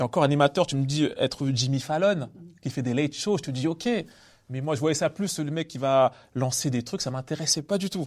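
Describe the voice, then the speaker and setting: A normal speaking voice with ordinary pitch variation at a fairly quick pace, on a very clean recording with a silent background. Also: man. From Paris suburbs, Villiers-le-Bel. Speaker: comedian. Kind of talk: casual interview. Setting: theatre venue.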